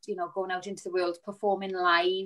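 Against a quiet background, a woman with a south Wales accent speaks in a bright, sharp tone. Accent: south Wales (Valleys). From Wales, Rhondda. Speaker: musical theatre performer. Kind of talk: panel discussion. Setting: video call. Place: home room. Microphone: video call.

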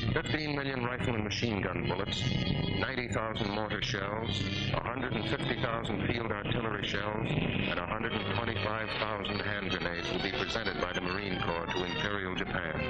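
A man talking at a fairly quick pace with ordinary pitch variation, loud music playing in the background. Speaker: documentary narrator. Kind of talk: newsreel narration. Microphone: old recording.

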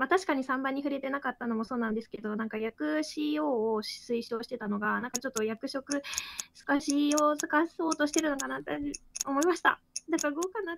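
Against noticeable background noise, a woman speaks at a fairly quick pace in a high pitch with ordinary pitch variation, the sound dry and close with no echo. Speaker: game room moderator and player. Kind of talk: rules explanation and game discussion.

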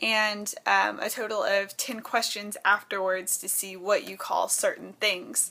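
A woman with an American accent in a bright, sharp tone, monotone and flat in intonation, at a fairly slow pace with hardly any pauses. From Texas. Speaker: vlogger. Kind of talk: casual talk to camera. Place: home room. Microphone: webcam.

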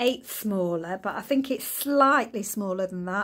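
Lively intonation runs through a woman's speech. The background is quiet. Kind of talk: tutorial. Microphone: phone near.

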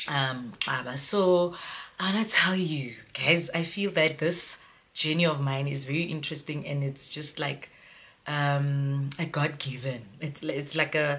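A woman's very deep, low pitch, paced fairly slowly, with ordinary pitch variation. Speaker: mom vlogger. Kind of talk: casual vlog storytime. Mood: cheerful, animated. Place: home room. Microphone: phone near.

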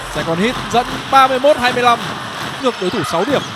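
Over noticeable background noise, a man talks in an excited, animated tone with lively intonation. His pitch is extremely high. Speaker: basketball commentator. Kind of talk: live sports commentary. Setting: basketball arena game broadcast. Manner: fast, animated play-by-play delivery; excited, rapid-fire naming of players and scores.

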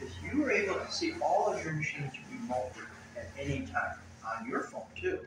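A man's fairly high, fairly bright voice at a fairly quick pace, big pitch swings, and audible room echo

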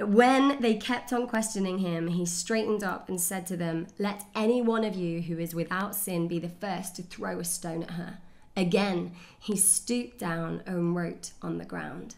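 Moderate pace and ordinary pitch variation from a woman speaking. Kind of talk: scripture reading. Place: home room.

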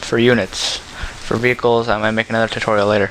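Over noticeable background noise, a man at a medium pitch talks at a fairly quick pace in a monotone, flat intonation. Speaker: gaming tutorial creator. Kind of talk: tutorial. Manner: casual, frequent fillers.

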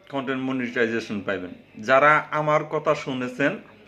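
A man talks with ordinary pitch variation while noticeable background noise carries on behind him. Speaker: vlogger. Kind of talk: casual vlog talk to camera. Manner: halting.

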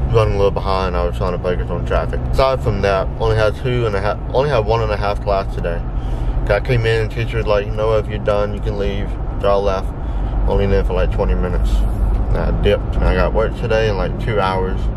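A man rattles along at a very fast pace, the sound dry with no echo and noticeable background noise behind him. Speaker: vlogger. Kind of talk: casual vlog chat. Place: car.

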